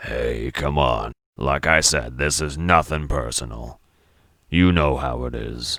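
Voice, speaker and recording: A man puts on a raspy character voice with a very deep, low pitch. He speaks at a fairly slow pace. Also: ordinary pitch variation. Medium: read story. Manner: gruff, sardonic, streetwise.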